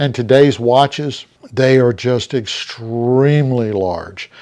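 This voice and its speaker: Dark and mellow in tone, a man speaks at medium pitch with ordinary pitch variation. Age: 60s. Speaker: watch reviewer, channel owner. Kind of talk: product review video. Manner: halting, many fillers.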